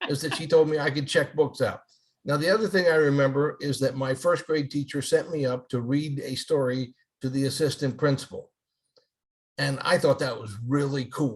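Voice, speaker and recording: A man speaks at a moderate pace with a fairly high pitch. His voice is somewhat breathy and his intonation fairly even. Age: 60s. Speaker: retired elementary school principal and author. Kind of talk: casual interview chat.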